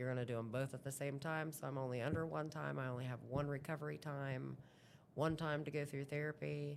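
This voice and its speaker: A woman with an American accent talks at a fairly quick pace in a very deep, low pitch, her intonation monotone and flat. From southeastern Ohio. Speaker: amputee interviewee. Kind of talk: interview. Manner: loud.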